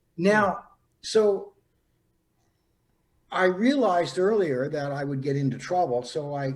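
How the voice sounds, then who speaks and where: Somewhat breathy and fairly slow, the speech has lively intonation broken by long, frequent pauses. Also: man. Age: 70s. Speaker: psychic. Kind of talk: interview storytelling. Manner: halting, many fillers.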